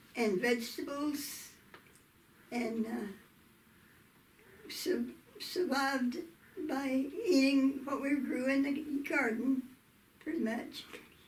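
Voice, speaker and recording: Amid audible room echo, a woman with a high pitch speaks at a very slow pace. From US South, southwestern Oklahoma. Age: 80s+. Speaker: interviewee telling life story. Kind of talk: oral history interview. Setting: video interview.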